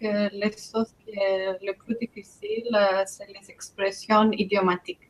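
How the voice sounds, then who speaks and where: A woman's bright, sharp, medium-pitched voice at a very slow pace, in a dry, close sound with no echo. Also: hardly any pauses, big swings in loudness. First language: Greek (speaking French). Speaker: immigrant in French conversation workshop. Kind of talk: casual group conversation.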